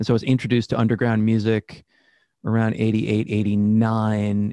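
Fairly quick man with an American accent and a dark, mellow tone, in a dry, close sound with no echo. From Massachusetts, Worcester. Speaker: rock musician. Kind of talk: interview. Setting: video call.

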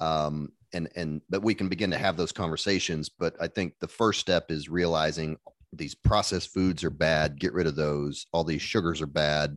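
In an American accent, a man with a very deep, low pitch speaks at a moderate pace, the sound dry and close with no echo against a quiet background. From US Midwest. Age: 40s. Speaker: family doctor and podcaster. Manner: hesitant, filler-heavy.

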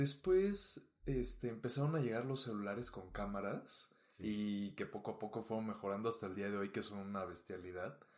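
An unremarkable speaking voice from a man, fairly low in pitch with ordinary pitch variation, at a moderate pace with hardly any pauses. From Mexico. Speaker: fashion photographer. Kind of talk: casual chat. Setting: studio.

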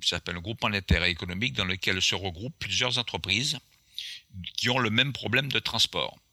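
A man talks at a fairly quick pace and a fairly low pitch, his tone bright and sharp. His intonation is lively, and the sound is dry and close with no echo. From Martinique. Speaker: airline pilot and author. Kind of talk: storytelling interview. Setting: remote call.

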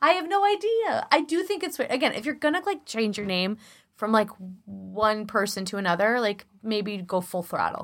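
This woman is recorded very cleanly against a silent background. She speaks at a moderate speed. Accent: Chicago. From Chicago. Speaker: podcast co-host. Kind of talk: casual chat. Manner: animated.

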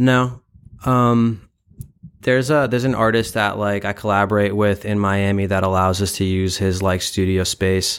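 Fairly low in pitch, a man with an American accent talks in a normal speaking voice at a moderate pace. His intonation is fairly even and his loudness very even. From Brooklyn, New York. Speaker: gallery curator and founder. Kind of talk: interview. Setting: in a mall.

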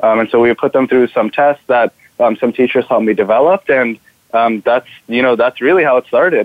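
This man has a normal speaking voice at medium pitch, with ordinary pitch variation, a moderate pace and very even loudness. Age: 20s. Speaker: student entrepreneur. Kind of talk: interview.

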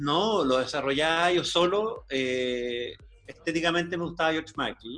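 Fairly high in pitch, a man's voice has a bright, sharp tone and ordinary pitch variation. He talks at a fairly slow pace. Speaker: guest sharing life story. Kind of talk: interview.

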